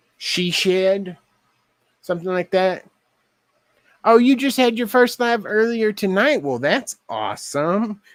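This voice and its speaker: A man's high voice with a Texas accent, fairly slow and broken by long, frequent pauses, in a very clean recording with a silent background. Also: lively intonation. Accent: Texas twang. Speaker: craft livestreamer. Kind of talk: casual livestream chat while crafting. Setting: live stream.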